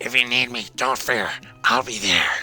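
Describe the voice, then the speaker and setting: A man's raspy, put-on character voice at a medium pitch and moderate pace, with clear background noise. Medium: game stream. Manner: earnest, slightly formal.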